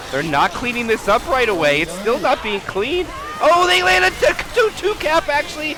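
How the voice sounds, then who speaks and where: Over noticeable background noise, a man uses a raised, projected voice at an extremely high pitch, animated in tone, with very wide pitch swings at a moderate pace. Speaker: esports caster. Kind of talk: live commentary.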